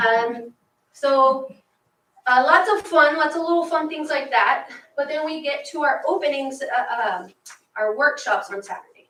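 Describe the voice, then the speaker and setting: A woman speaks in a raised, projected voice, high in pitch and fairly slow, with lively intonation and big swings in loudness. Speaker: teacher and student group advisor. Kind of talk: report to school board.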